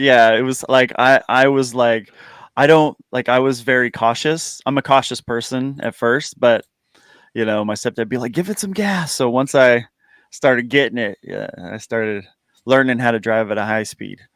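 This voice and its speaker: Delivered in a plain, everyday voice at a moderate pace with ordinary pitch variation, the speech sounds dry and close with no echo on a very clean recording with a silent background. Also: man, medium pitch for a man. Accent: American. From United States. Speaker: YouTuber guest. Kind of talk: casual chat.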